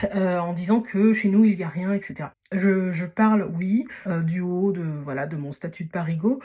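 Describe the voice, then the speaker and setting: At a fairly slow pace, the speaker's pitch moves with ordinary variation. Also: woman. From Paris region, France. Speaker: podcast host, dating and social advice. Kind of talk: casual advice monologue. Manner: hesitant, many fillers (euh, voilà).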